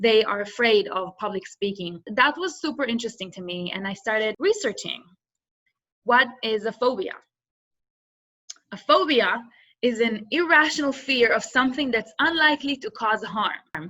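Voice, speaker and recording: Bright and sharp in tone, the voice has an Israeli accent, lively intonation and a moderate pace. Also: woman, fairly high pitch for a woman. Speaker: business student and workshop presenter. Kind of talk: workshop presentation.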